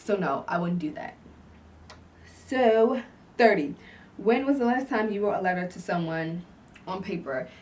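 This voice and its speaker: A woman at medium pitch, with very wide pitch swings, big swings in loudness, long, frequent pauses and a moderate pace. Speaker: YouTuber. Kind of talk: casual vlog Q&A. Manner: halting; filler-heavy.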